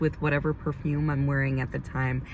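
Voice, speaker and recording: A woman speaks in a very deep, low voice. Noticeable background noise runs underneath. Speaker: beauty vlogger and esthetician. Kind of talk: casual vlog monologue. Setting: in a car.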